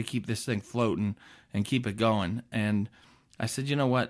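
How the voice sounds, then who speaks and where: The recording is very clean, with a silent background. A man with an American accent speaks at a medium pitch. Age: 40s. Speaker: podcast host, pizza business owner. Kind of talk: business advice monologue. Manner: casual, energetic.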